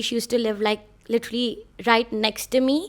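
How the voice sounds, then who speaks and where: Against a silent background in a very clean recording, a woman with a Mumbai accent speaks in a high voice at a moderate pace. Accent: Mumbai Indian English. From India (Bhopal, then Mumbai). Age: 20s. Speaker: podcast host. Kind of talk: casual monologue. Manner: animated.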